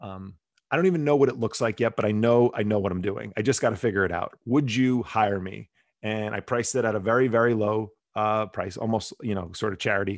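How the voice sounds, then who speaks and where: A man with an ordinary speaking voice and an American accent, fairly low in pitch with ordinary pitch variation, at a fairly quick pace against a quiet background. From New Jersey, Bergen County. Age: 40s. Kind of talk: casual interview chat.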